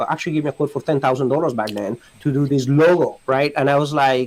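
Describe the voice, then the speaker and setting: In a Spanish accent, a man speaks at a fairly high pitch with monotone, flat intonation. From Colombia. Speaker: immigration lawyer. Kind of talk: podcast interview. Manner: halting, many repetitions.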